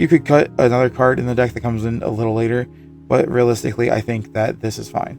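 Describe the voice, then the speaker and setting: A man speaks at a medium pitch. Music plays behind him. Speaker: card game content creator. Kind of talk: casual talk to camera.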